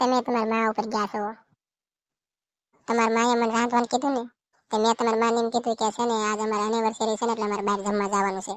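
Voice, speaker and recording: A woman does a cartoonish character voice with fairly high pitch. She talks at a fairly quick pace in a monotone, flat intonation. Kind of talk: comic cartoon dialogue. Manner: whiny, complaining.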